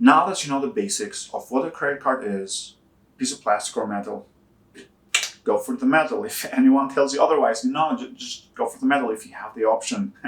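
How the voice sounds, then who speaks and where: Talking fairly quickly with a non-native accent, a man uses a fairly high pitch, very wide pitch swings and big swings in loudness. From Albania. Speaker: personal finance YouTuber. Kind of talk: casual explainer talk to camera.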